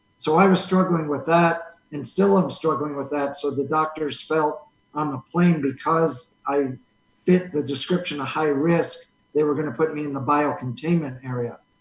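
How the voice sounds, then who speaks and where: With a plain, everyday voice, a man speaks at a moderate pace, his pitch fairly high and his intonation fairly even. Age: 60s. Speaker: radio station owner and coronavirus patient. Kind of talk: interview.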